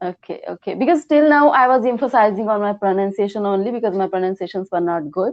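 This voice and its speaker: A woman speaks very fast in an Indian accent, barely pausing at all. Her pitch sits in the middle of the range, and her intonation is lively. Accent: Indian, clear. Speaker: English learner. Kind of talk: one-to-one lesson. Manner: halting.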